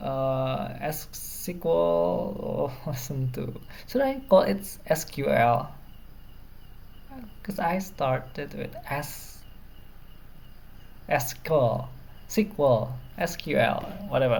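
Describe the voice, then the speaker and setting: Speaking at a very slow pace with long, frequent pauses, a woman with an Indonesian accent is heard amid audible room echo. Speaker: programming tutor. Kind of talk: tutorial.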